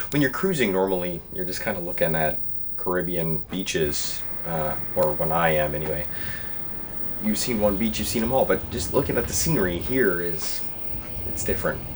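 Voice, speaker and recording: Long, frequent pauses break up speech with lively intonation, and audible room echo is present. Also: man, very deep, low pitch for a man, moderate pace. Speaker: magician vlogger. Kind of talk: travel vlog. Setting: on a cruise ship.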